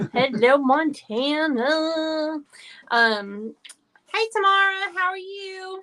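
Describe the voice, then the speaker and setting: With a raised, projected voice at an extremely high pitch, a woman speaks very slowly, her pitch swinging very widely. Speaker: craft business owner and live stream host. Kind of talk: live stream craft tutorial chat. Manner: loud.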